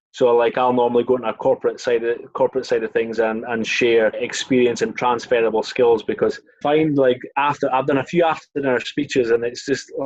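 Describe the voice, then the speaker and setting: Using a Scottish accent, a man talks at medium pitch and a fairly quick pace with fairly even intonation. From Scotland, Scottish Borders (Melrose). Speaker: former rugby sevens player. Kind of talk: casual chat.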